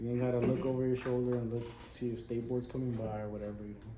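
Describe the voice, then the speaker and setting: With an American accent, a man speaks very fast at medium pitch with fairly even intonation, and audible room echo can be heard. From Las Vegas, US. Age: 30s. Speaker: barber. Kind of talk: casual chat.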